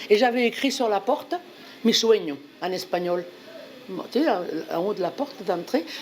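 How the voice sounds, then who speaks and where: In a Bordeaux accent, the speaker uses very wide pitch swings and long, frequent pauses over noticeable background noise. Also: woman, medium pitch for a woman. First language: Spanish (speaking French). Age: 80s+. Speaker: volunteer translator. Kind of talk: personal testimony. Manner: animated; halting.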